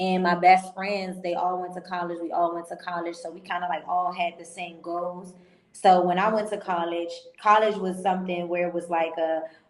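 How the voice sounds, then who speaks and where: A woman talks at a moderate pace and medium pitch. She has an unremarkable speaking voice. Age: 20s. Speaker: entrepreneur. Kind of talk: interview.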